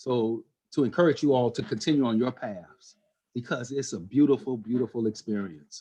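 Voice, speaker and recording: Against a quiet background, a man talks at a moderate pace. He has an ordinary speaking voice and lively intonation. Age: 60s. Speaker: meditation class participant. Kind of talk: casual sharing in group chat.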